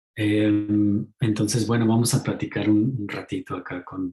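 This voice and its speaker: This man's voice is somewhat breathy. He takes a fairly slow pace. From Mexico. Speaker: author and ecopsychology teacher. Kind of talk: talk in an online lecture series.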